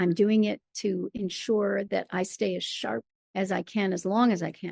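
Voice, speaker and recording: A woman uses an ordinary speaking voice at medium pitch and a moderate pace, with ordinary pitch variation. The sound is dry and close, with no echo. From Michigan. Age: 60s. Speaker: playwright and performer. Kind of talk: interview.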